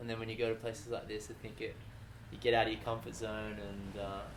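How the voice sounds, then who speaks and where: A man with an Australian accent and a medium pitch races along at a very fast pace in a monotone, flat intonation. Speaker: English teacher. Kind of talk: casual interview conversation.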